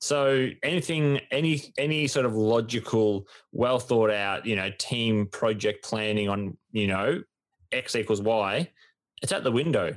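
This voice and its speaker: On a very clean recording with a silent background, a man with an Australian accent talks at medium pitch and a fairly slow pace with ordinary pitch variation. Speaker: sports podcast co-host. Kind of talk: casual chat.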